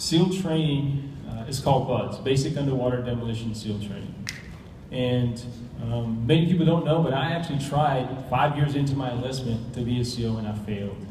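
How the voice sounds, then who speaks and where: Someone with an American accent speaks at a moderate pace with ordinary pitch variation, audible room echo and noticeable background noise. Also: man, medium pitch for a man. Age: 40s. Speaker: navy special forces instructor and network marketing associate. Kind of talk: presentation to an audience. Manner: mumbling.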